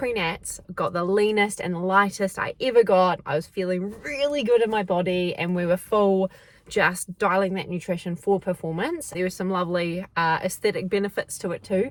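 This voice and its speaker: A woman with a New Zealand accent speaks in an animated tone at a moderate pace, with hardly any pauses. Her pitch is medium, with ordinary pitch variation. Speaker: athlete vlogger. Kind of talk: casual vlog chat. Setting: in a car.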